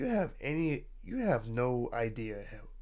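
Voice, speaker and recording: Audible room echo surrounds a man as he speaks. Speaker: streamer. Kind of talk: casual chat. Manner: halting.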